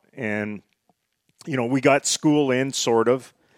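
The speaker has a western Canadian accent and ordinary pitch variation. Delivery is at a fairly slow pace. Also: man. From northern British Columbia, Canada. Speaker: hockey television analyst. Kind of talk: casual chat.

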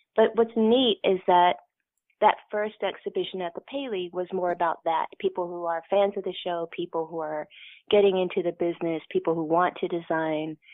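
A woman with an American accent speaks at a moderate pace, her pitch fairly low and its variation ordinary. It is an unremarkable speaking voice. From Kentucky, US. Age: 50s. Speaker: costume designer. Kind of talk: interview.

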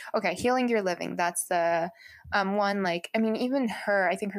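A woman's medium-pitched voice moves at a fairly quick pace with ordinary pitch variation. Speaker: solo podcast host, college student. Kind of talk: casual solo podcast monologue. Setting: home recording in own apartment room. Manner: informal, many fillers and false starts.

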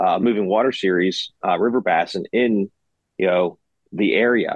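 Here is an ordinary speaking voice. The pace is moderate and the pitch variation ordinary. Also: man. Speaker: kayak tournament organizer. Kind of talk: casual chat.

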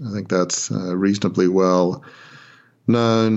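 Speaking in an Australian accent, a man keeps a fairly low pitch and a moderate pace, his intonation monotone and flat. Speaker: former newspaper proprietor. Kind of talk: interview. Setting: phone call. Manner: halting.

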